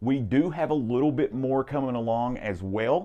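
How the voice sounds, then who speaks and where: Against a quiet background, an animated voice speaks with a strong Southern US accent. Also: man. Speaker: guitar shop video host. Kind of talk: product demo. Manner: enunciating carefully.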